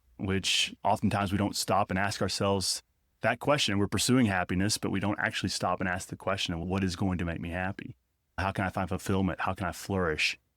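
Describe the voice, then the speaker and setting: On a very clean recording with a silent background and a dry, close sound with no echo, a man with a very deep, low pitch speaks at a very fast pace with fairly even intonation. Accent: Arkansas. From Northwest Arkansas. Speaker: theology professor. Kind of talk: conversational interview.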